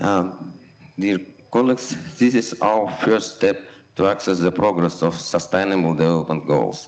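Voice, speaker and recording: Speaking with a non-native accent, a man with a very deep, low voice keeps a very even loudness, a moderate pace, and ordinary pitch variation. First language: not English. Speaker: city official. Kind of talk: reading a prepared speech.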